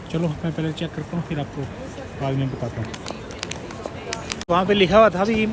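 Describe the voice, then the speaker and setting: A high-pitched man's voice at a moderate pace, with noticeable background noise. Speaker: travel vlogger. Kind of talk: travel vlog narration. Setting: airport. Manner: casual, conversational.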